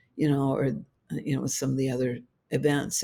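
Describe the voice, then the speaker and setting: A woman speaks with a very deep, low pitch and a dark, mellow tone. Vocal fry runs through her voice. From Hawaii. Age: 70s. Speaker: inventor of a healing technology. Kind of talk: podcast interview.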